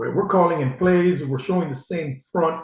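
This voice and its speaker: A man speaks with an American accent. His voice is somewhat breathy. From US Midwest, Ohio. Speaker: football coach. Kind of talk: podcast interview. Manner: animated.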